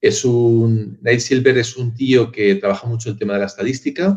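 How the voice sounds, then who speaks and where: Delivery from this man is at a moderate pace. The voice carries some breathiness. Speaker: marketing and branding professional. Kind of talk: interview answer, casual.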